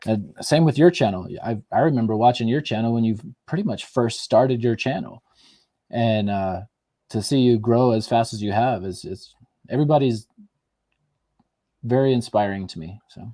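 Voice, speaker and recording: On a very clean recording with a silent background, a man with a medium-pitched, dark, mellow tone talks at a moderate pace, with ordinary pitch variation, big swings in loudness, and long, frequent pauses. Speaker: comic book YouTuber. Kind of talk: casual interview chat.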